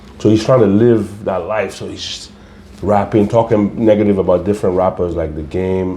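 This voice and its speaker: Here is a man with an unremarkable speaking voice, fairly low in pitch and fairly even in intonation. He goes at a moderate pace, and his loudness swings a lot. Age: 40s. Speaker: real estate agent. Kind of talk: casual chat.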